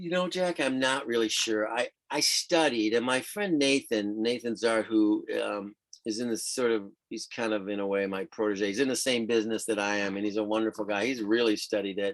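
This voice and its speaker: A man with an unremarkable speaking voice, medium pitch, ordinary pitch variation and a moderate pace. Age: 60s. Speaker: professional sailor and writer. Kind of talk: casual chat. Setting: video call.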